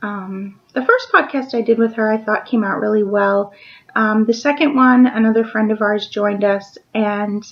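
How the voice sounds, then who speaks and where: Moderate-paced speech from a woman, fairly high in pitch and with ordinary pitch variation. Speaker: knitting podcast host. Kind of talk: casual video podcast monologue. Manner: hesitant, many ums.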